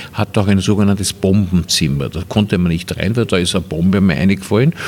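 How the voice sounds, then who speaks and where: A man's very deep, low voice at a very fast pace, with ordinary pitch variation and noticeable background noise. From Vienna, Austria. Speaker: filmmaker. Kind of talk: casual interview. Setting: Viennese coffee house.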